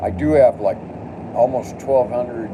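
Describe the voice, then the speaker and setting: Noticeable noise sits in the background. Over it, a man talks. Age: 60s. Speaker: live streamer. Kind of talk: casual live stream monologue; angry rant at a commenter. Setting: home studio.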